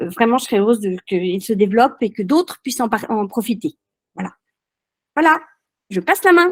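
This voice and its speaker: The recording is dry and close with no echo as a woman speaks at a fairly high pitch. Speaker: château owner running guest rooms and events. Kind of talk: webinar testimony. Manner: hesitant, many fillers.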